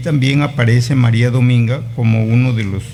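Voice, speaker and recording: A man talks at a medium pitch and a fairly slow pace. His intonation is fairly even, and the room echo is audible. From Peru, Piura (Bajo Piura). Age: 60s. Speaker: teacher and writer. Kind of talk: interview.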